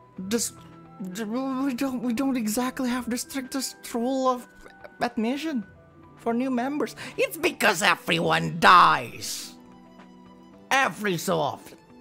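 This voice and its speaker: Over clear music in the background, a put-on character voice that sounds female speaks at a fairly slow pace and a high pitch. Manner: dry, exasperated.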